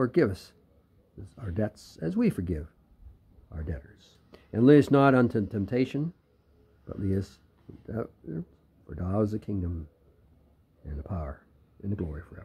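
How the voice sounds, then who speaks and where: A man's fairly low, dark, mellow voice, somewhat breathy, with lively intonation, big swings in loudness, and long, frequent pauses. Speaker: church elder leading service. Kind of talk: prayer service with scripture reading and fervent, solemn prayer. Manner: slow, reverent, earnest, hesitant with occasional repeated words; formal, solemn. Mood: solemn, devotional. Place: garden. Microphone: phone near.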